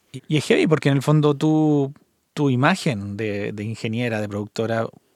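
On a very clean recording with a silent background, a man with a Chilean accent speaks fairly slowly at a medium pitch. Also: dry, close sound with no echo. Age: 50s. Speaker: podcast host, mastering engineer. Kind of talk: interview.

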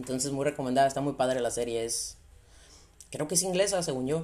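A woman with a slight Sonora accent and a very deep, low pitch. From Sonora, northern Mexico. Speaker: podcast host. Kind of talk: casual monologue.

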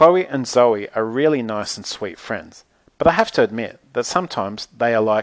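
The natural reading voice here has lively intonation.

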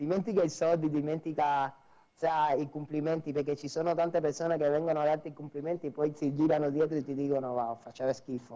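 A man with a Cuban accent speaks at a very fast pace, his pitch fairly high. His tone is dark and mellow, and his intonation stays fairly even. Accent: Cuban Spanish accent in Italian. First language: Spanish (speaking Italian). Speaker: dancer, singer and dance teacher. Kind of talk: interview. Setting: live stream.

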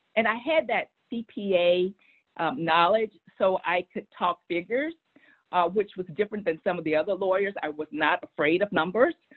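A woman with a plain, everyday voice speaks in an American accent at a moderate pace. Her pitch is medium and her intonation is lively. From Texas. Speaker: public affairs executive. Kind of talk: interview.

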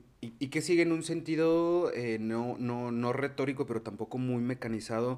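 A man speaks at a fairly quick pace with a Mexican accent. He uses hardly any pauses and ordinary pitch variation. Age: 30s. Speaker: podcast host. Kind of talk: casual chat.

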